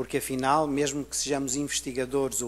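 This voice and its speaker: A man's fairly high voice with a European Portuguese accent. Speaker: university researcher. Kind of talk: conference presentation.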